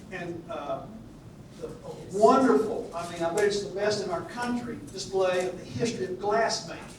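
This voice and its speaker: A man with a Southern US accent speaks at a moderate pace, his pitch high and its variation ordinary. Noticeable background noise and audible room echo fill the recording. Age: old. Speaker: Old Testament scholar, retired minister. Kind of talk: lecture. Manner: halting, many fillers.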